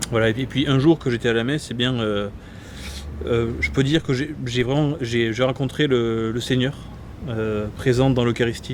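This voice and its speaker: Against noticeable background noise, a man speaks at a moderate pace and medium pitch with fairly even intonation. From southern France, Gard. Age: 20s. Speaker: priest-to-be, seminarian. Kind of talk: interview. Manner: halting, many hesitations.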